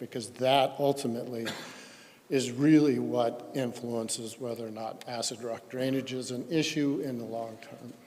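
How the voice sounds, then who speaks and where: A man's medium-pitched voice comes through at a moderate pace in a monotone, flat intonation, over noticeable background noise. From Colorado. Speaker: geochemistry expert witness. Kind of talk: technical presentation at public hearing. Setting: public hearing. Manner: halting with fillers.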